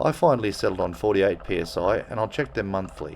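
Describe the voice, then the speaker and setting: Here a man talks with an Australian accent. His pace is fairly quick and his intonation lively. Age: 50s. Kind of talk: casual how-to narration. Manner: casual, wry.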